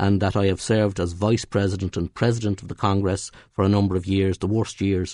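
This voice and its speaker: A man with a Dublin accent talks in a monotone, flat intonation. His pitch is fairly low, and the background is quiet. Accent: Dublin Irish. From Ireland, North County Dublin. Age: 60s. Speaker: trade union leader. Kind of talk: radio interview. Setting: radio studio. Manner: halting, many repetitions and fillers.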